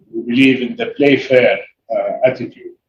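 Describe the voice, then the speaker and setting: The speaker is a man. He talks with an Arabic accent. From Saudi Arabia. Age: 60s. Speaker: businessman. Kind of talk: interview.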